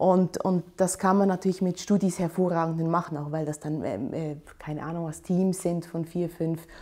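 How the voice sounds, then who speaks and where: Speaking at a moderate pace, a woman uses a fairly low pitch and fairly even intonation. The background is quiet. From Switzerland, Aarau; Switzerland. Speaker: urban planner and architecture professor; architecture professor. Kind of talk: interview monologue. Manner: hesitant, many fillers. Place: office. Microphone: lapel.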